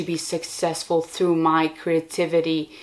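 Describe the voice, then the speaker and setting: A woman's fairly low voice at a fairly slow pace, monotone and flat in intonation. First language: not English. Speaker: podcaster and video creator. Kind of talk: casual monologue. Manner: casual with many fillers.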